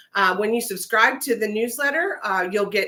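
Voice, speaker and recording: A woman speaks with a fairly high pitch and a bright, sharp tone. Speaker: viola teacher. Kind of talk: livestream tutorial. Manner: hesitant, many fillers; fast.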